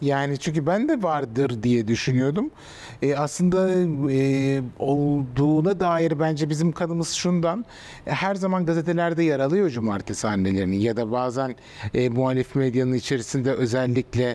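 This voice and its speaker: Fairly high in pitch, a man speaks with a dark, mellow tone at a moderate pace. His intonation is lively and his loudness very even. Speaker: journalist and author; journalist. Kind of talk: interview; interview answer. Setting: art exhibition venue. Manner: hesitant, many fillers. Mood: reflective, serious, somewhat sad. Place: hall. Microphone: lapel.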